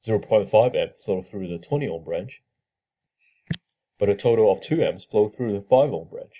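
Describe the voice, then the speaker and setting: A man's somewhat breathy voice with a dark, mellow tone, ordinary pitch variation and a moderate pace. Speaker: engineering student presenting a tutorial. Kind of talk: tutorial.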